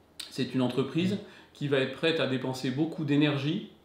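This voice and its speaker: A man speaks with a fairly high pitch, somewhat breathy, and ordinary pitch variation. Audible room echo surrounds his voice. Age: 40s. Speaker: company founder and CEO. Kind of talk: interview. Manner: hesitant, many fillers.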